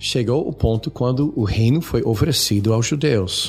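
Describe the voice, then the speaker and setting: A man speaks in an English accent. His voice is somewhat breathy. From United States. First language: English (speaking Portuguese). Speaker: retired missionary and seminary teacher. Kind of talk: theological discussion. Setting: studio.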